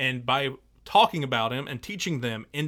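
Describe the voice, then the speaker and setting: Speaking at a moderate pace, a man with medium pitch and lively intonation has an unremarkable speaking voice. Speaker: high school English teacher and podcast host. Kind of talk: casual podcast discussion on teaching.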